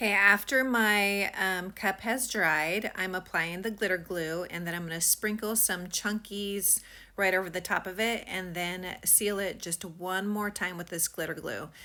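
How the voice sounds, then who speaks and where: Her tone bright and sharp, a woman at medium pitch speaks at a fairly slow pace with hardly any pauses and fairly even intonation in a very clean recording with a silent background. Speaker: craft hobbyist. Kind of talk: tutorial. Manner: halting; casual.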